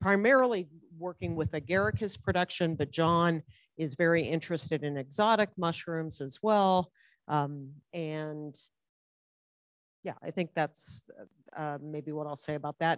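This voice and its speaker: A woman at a very deep, low pitch and a fairly slow pace, with long, frequent pauses, dry sound with no echo and a quiet background. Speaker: department head on a panel. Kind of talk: panel introduction. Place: hall.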